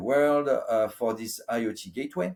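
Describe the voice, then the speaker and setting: Here a man speaks with a French accent. His pitch is medium and his pace moderate. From France. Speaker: IoT business executive. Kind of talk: interview. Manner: hesitant, many fillers.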